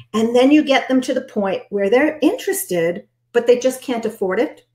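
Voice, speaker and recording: Her pitch is fairly high and her intonation lively. The woman talks at a moderate pace. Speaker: business coach for direct sales consultants. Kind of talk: webinar training. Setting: live stream. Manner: animated.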